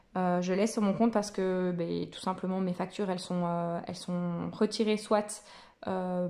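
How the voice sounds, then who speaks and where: A woman's dark, mellow tone, monotone and flat in intonation, at a moderate pace. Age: 30s. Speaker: personal finance vlogger. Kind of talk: casual tutorial vlog. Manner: hesitant, many fillers.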